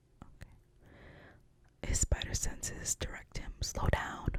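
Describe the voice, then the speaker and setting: Whispering at a fairly slow pace, a woman is heard over noticeable background noise. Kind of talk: ASMR script reading. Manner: whispered, soft-spoken.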